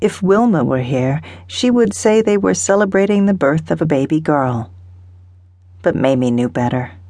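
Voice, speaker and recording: A woman speaks at a very deep, low pitch in a dark, mellow tone. Her pitch swings very widely while her loudness stays very even. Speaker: audiobook narrator. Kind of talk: dramatic audiobook narration of historical romance fiction. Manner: unhurried, atmospheric storytelling that lingers on sensory detail.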